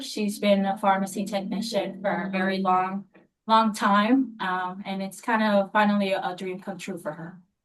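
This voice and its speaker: A woman at medium pitch, an unremarkable speaking voice, with big swings in loudness. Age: 20s. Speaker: pharmacy technician and applicant's daughter. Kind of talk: licensing hearing testimony and interpreting.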